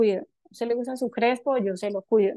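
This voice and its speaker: A woman's high-pitched voice with a dark, mellow tone, ordinary pitch variation and a moderate pace, in a quiet background with dry sound and no echo. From Colombia, Antioquia (paisa). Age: 30s. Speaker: entrepreneur, cosmetics company founder; guest. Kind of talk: talk to a forum audience. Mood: warm, reflective. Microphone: video call.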